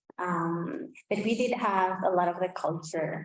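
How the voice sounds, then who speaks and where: A woman talks at a very slow pace with a medium pitch and ordinary pitch variation. Audible room echo surrounds her voice. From Basque Country, northern Spain. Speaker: language revitalization speaker. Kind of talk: conference presentation. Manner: halting, many fillers.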